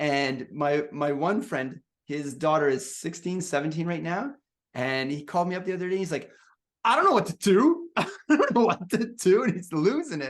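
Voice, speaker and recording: A man speaks in a high pitch with lively intonation. His tone is animated. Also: moderate pace. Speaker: podcast host. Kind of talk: casual interview chat. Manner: repetitive false starts.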